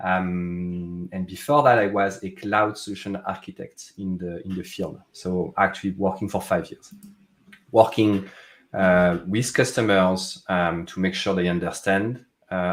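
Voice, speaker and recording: A man with a French accent speaks at a fairly slow pace. His very deep, low voice keeps a fairly even intonation. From France. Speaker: tech product manager. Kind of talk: interview conversation. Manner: halting, many fillers.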